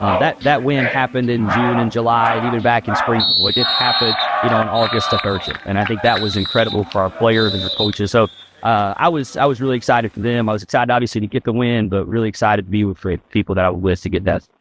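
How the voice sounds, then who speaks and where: A man with an American accent talks at a very fast pace in a medium pitch, his intonation fairly even, over noticeable background noise. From Virginia. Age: 30s. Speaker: college football head coach. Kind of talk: interview.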